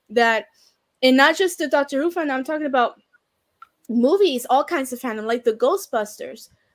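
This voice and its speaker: A woman's high-pitched voice with lively intonation, a moderate pace and long, frequent pauses, music playing in the background. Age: 20s. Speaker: YouTuber. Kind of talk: casual chat.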